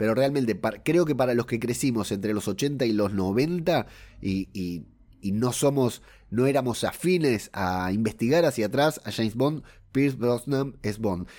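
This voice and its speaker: In a very clean recording with a silent background, a man speaks at a medium pitch and a fairly slow pace, his dark, mellow tone carrying lively intonation. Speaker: podcast host. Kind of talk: film review podcast.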